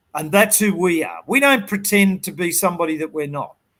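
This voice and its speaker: A man speaks with a strong Australian accent. His tone is animated. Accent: broad Australian. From Sydney, Australia (western suburbs). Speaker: business coach. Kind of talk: interview.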